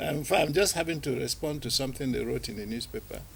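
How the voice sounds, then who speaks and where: The speech comes at a very fast pace with vocal fry. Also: man. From Nigeria (born in Aba, southeast). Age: 60s. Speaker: filmmaker. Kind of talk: TV interview. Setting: TV studio.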